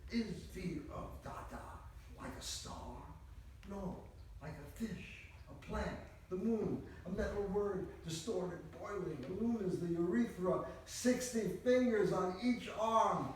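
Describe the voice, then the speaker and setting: Amid noticeable background noise, a man speaks at a very slow pace in a high pitch, with ordinary pitch variation and big swings in loudness. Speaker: poet. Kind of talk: poetry reading. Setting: live reading at a conference.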